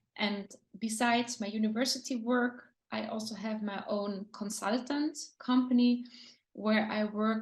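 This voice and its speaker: Fairly high in pitch, a woman speaks with a German accent. Her voice is somewhat breathy and her intonation fairly even. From Austria. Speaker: lecturer and design consultant. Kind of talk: interview.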